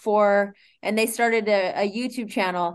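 A woman with an American accent has an unremarkable speaking voice, fairly high in pitch with ordinary pitch variation. She speaks at a fairly slow pace over a quiet background. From US West Coast (Sacramento, Northern California). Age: 50s. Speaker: boxing coach and fitness business owner. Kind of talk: casual interview.

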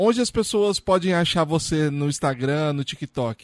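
A man's unremarkable speaking voice, dry and close with no echo, over a quiet background, at a moderate pace with ordinary pitch variation. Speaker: podcast host. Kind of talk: casual interview. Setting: video call.

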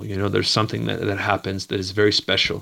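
A man speaks with a Maritime Canadian accent, a fairly low pitch, and vocal fry. His tone is bright and sharp, on a very clean recording with a silent background. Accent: Canadian (Maritimes). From Canada, Nova Scotia (Dartmouth). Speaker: martial arts instructor and photographer. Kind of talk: interview.

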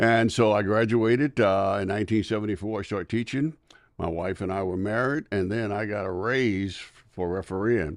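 A man with an American accent speaks at a moderate pace and a fairly low pitch, with ordinary pitch variation. It is a plain, everyday voice over a quiet background. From US South. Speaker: retired school superintendent and former basketball referee. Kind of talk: interview.

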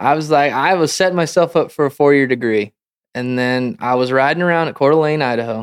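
With an American accent and an unremarkable speaking voice, a man talks at a fairly quick pace and fairly high pitch, using ordinary pitch variation. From Montana. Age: 30s. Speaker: professional rodeo roper. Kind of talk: casual interview.

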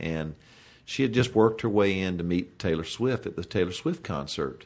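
Against a quiet background, a man with a plain, everyday voice and fairly low pitch speaks at a moderate pace with lively intonation. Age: 50s. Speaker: professional golfer. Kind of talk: casual chat.

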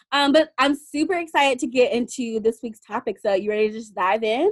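Fairly high-pitched woman at a fairly quick pace, with ordinary pitch variation

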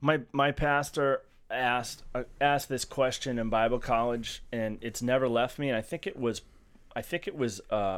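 A normal speaking voice from a man with an American accent, medium in pitch, with ordinary pitch variation at a moderate pace, on a very clean recording with a silent background. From Massachusetts. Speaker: podcast co-host. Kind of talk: casual group discussion.

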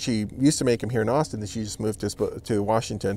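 Ordinary pitch variation marks a man's dark, mellow tone in a Californian accent. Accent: Californian American. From Los Angeles, California. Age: 40s. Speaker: artisan business owner. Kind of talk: interview. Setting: home studio in a backyard.

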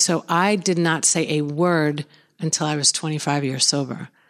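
On a very clean recording with a silent background, a woman with a New York accent speaks in a very deep, low pitch with ordinary pitch variation. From Long Island, New York, US. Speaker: author in addiction recovery. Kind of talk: interview.

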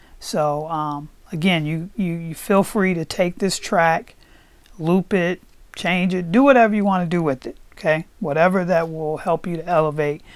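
A normal speaking voice from a woman, fairly low in pitch, with ordinary pitch variation. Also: very clean recording, silent background. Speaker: podcast host and meditation guide. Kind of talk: guided meditation. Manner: slow, calm, soothing, with gentle repetition.

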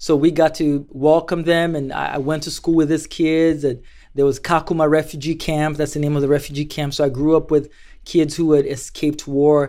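Fairly quick speech from a man at a fairly high pitch, his tone dark and mellow and his intonation monotone and flat. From Kenya, Mombasa coast. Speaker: ministry fundraiser. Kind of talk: interview storytelling.

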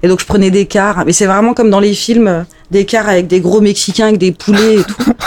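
Noticeable background noise sits behind the recording. A woman of medium pitch talks at a moderate pace with ordinary pitch variation. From France, Alsace. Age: 30s. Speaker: journalist. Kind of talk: casual chat. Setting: home, cats present.

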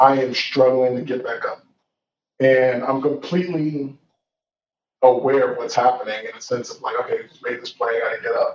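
A man at medium pitch with an American accent. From US South (Georgia), some years in Nigeria. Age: 30s. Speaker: motivational speaker, former college football player. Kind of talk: personal testimony in interview.

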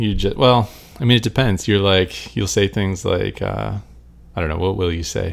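The voice is a plain, everyday voice with ordinary pitch variation at a moderate pace. The recording is very clean with a silent background. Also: man. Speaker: poker player and podcast co-host. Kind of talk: casual chat. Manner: soft-spoken.

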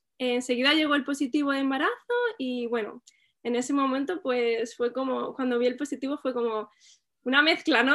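A woman is speaking. Her pace is moderate. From Spain, Albacete. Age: 30s. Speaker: mother sharing birth story. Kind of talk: testimony.

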